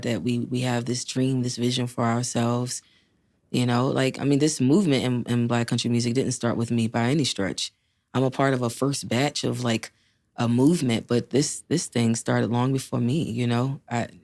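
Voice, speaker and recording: Her pitch is very deep and low for a woman, with very even loudness throughout. She keeps a moderate pace and fairly even intonation. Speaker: country singer. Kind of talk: interview conversation.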